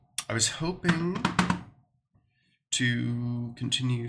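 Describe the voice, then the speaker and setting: A man speaks at medium pitch with ordinary pitch variation. Music plays in the background. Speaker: gaming streamer. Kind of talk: casual live stream chat. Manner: halting, many fillers. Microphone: audio issues.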